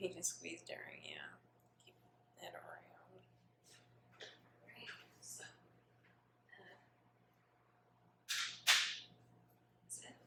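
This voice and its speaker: In a whisper, a woman talks very slowly, with long pauses coming often and her volume rising and falling sharply. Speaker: ASMR creator playing a tattoo artist. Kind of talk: ASMR roleplay, soft-spoken personal attention. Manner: soft-spoken, friendly, slightly awkward.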